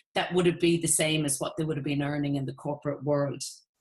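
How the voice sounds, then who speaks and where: A woman speaks with an Irish accent. Her voice is somewhat breathy. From Ireland. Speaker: network marketing entrepreneur. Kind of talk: sales presentation. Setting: webinar.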